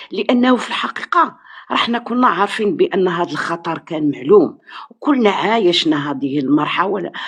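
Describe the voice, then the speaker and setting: With noticeable background noise, a woman at a medium pitch speaks fairly slowly in a Moroccan accent, her pitch swinging very widely. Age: 70s. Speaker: teacher. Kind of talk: live stream discussion.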